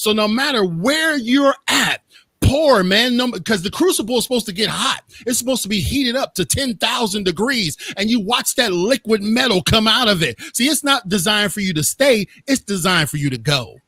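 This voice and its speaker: Raising and projecting his high-pitched voice, a man talks at a fairly quick pace in an animated, passionate tone, with dry, close sound and no echo. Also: lively intonation. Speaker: motivational speaker. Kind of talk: interview conversation. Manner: loud.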